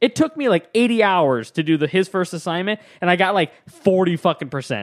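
The sound is dry and close, with no echo. A man speaks at a fairly quick pace with lively intonation. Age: 20s. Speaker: podcast co-host and college student. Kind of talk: casual chat.

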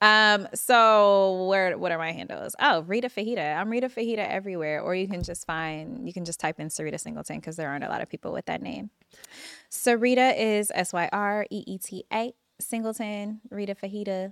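The speaker has a Californian accent and a fairly quick pace, with ordinary pitch variation in a dry, close sound with no echo. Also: woman, medium pitch for a woman. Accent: Californian, noted by host. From Los Angeles, California. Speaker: TV showrunner and writer. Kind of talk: casual chat. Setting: studio.

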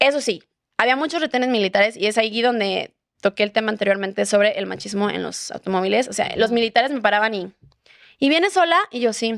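A woman with a Mexican accent talks at a fairly quick pace. Her fairly high voice has lively intonation. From Mexico, Puerto Vallarta (Jalisco). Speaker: travel content creator. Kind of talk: casual chat.

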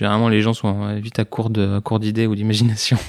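On a very clean recording with a silent background, a man speaks at a fairly low pitch and moderate pace. The sound is dry and close, with no echo. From Belgium. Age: 20s. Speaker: psychologist. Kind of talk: interview testimony. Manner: hesitant, many fillers.

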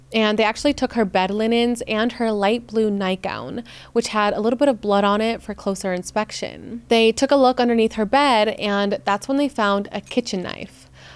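A woman talks with a plain, everyday voice and fairly even intonation. She speaks with hardly any pauses. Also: fairly high pitch for a woman, moderate pace. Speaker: true crime podcaster. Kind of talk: true-crime narration, scripted storytelling. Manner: measured, serious narrative delivery; conversational, casual asides.

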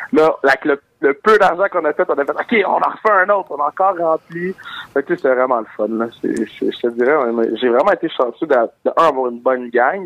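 In a plain, everyday voice, a man speaks fairly quickly at a fairly high pitch with lively intonation, the sound dry and close with no echo. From Montreal, Quebec. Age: 20s. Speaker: comedian. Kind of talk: interview.

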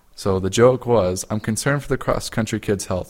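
With an unremarkable speaking voice, a man talks at a fairly quick pace in a fairly low pitch and fairly even intonation, captured in a very clean recording with a silent background. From Utah. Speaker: podcast co-host. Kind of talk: casual chat.

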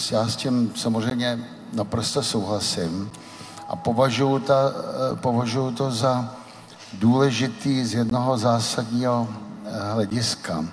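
Over noticeable background noise and audible room echo, a man speaks at a fairly slow pace with fairly even intonation. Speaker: Velvet Revolution participant and author. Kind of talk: panel discussion before live audience. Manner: hesitant with many fillers.

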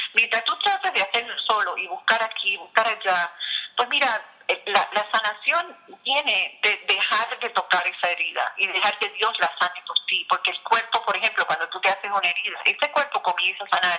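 A woman speaks at a moderate pace in a fairly high pitch with ordinary pitch variation, over noticeable background noise. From Puerto Rico. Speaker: author and international speaker. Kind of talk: interview. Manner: halting, with frequent repetitions.

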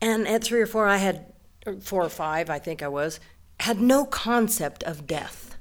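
A woman with an American accent speaks in an ordinary speaking voice at a moderate pace. Her medium pitch carries lively intonation on a very clean recording with a silent background. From western Colorado, Delta. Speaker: storyteller. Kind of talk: live storytelling. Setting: stage with audience.

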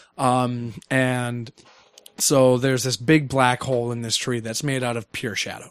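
Monotone, flat delivery at a fairly slow pace. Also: man, medium pitch for a man. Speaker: podcast co-host and camp aquatics director. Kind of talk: casual chat.

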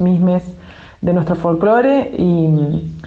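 Audible room echo surrounds a woman's voice at a medium pitch. She talks at a fairly slow pace with ordinary pitch variation. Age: 50s. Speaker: musician and filmmaker. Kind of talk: interview.

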